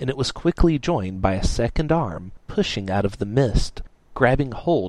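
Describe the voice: Reading aloud, plain and simple.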